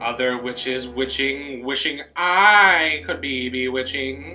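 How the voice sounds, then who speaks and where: With music in the background, a man of medium pitch speaks in very wide pitch swings. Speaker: voice student. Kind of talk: poetry reading.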